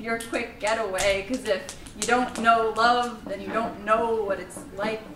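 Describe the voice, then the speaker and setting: A woman's fairly high voice, its intonation fairly even, over noticeable background noise. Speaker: spoken word poet. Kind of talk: spoken word poetry performance. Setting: live open mic at a college.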